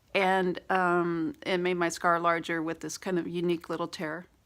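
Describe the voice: With little pitch movement, a woman speaks at a moderate pace in a raspy voice that is fairly low in pitch yet fairly bright in tone.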